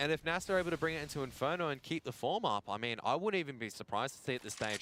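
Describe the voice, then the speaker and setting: Speaking at a very fast pace, a man with an Australian accent has lively intonation. His tone is bright and sharp. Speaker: esports commentator. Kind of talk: live commentary. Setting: live stream broadcast.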